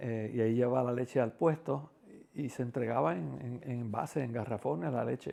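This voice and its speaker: In a Puerto Rican accent, a man talks at a moderate pace and medium pitch. His tone is dark and mellow, with ordinary pitch variation. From Puerto Rico, Quebradillas. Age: 60s. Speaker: interviewee, community figure. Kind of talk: life-story interview. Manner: hesitant, many fillers.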